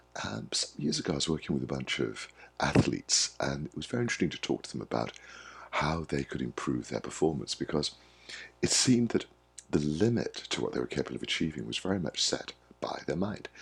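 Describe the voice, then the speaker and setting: A man talks at a very fast pace with a very deep, low pitch and vocal fry. His pitch swings very widely. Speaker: wellbeing coach. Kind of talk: monologue to camera. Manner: warm, friendly.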